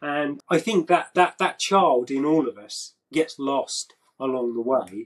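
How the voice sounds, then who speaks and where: A man with a British accent talks at a very slow pace and fairly high pitch. His intonation is lively over a quiet background. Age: 50s. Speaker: action figure artist; interviewee. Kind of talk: casual chat. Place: workshop. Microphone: video call.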